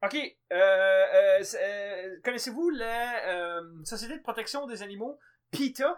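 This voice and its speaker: A man with an extremely high pitch talks at a very slow pace, his intonation lively and his loudness swinging widely. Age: 20s. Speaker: podcast co-host. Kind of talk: casual chat.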